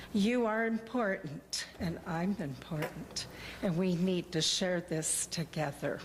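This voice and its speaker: At a very slow pace and very even loudness, a somewhat breathy woman speaks at a medium pitch with ordinary pitch variation. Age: 70s. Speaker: member of the public addressing council. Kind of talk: public comment. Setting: city council meeting.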